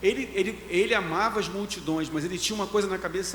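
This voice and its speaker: Going at a very fast pace, a man with a high pitch shows ordinary pitch variation. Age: 60s. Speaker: pastor. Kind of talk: casual chat.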